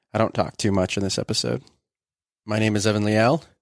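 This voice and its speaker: The man's voice sits fairly low and moves at a fairly quick pace with fairly even intonation. The sound is dry and close with no echo, over a quiet background. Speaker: podcast host. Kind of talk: casual interview; scripted podcast intro. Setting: in person with hard-of-hearing grandfather. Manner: loud, near yelling.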